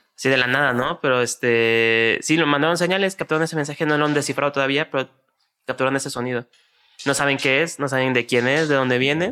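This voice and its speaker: A man talks at a very fast clip with very even loudness and a fairly high pitch. Music plays in the background. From Mexico City. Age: 20s. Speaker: podcast co-host. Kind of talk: casual chat.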